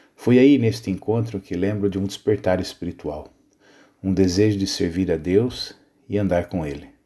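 A man with a Brazilian accent speaks in a very deep, low pitch with a dark, mellow tone. His pace is moderate, his pitch variation ordinary, and the recording very clean with a silent background. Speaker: pastor. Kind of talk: scripted narration.

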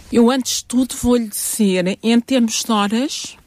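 A woman speaks with a dark, mellow tone at a fairly high pitch, her pitch varying in an ordinary way, in a dry, close sound with no echo. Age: 60s. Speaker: family doctor and family therapist. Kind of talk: interview.

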